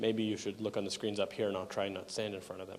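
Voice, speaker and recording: With a Canadian accent, a man talks at a very fast pace in a medium pitch, with audible room echo around him. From Canada. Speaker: software conference speaker. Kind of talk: technical conference talk. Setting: conference hall with audience.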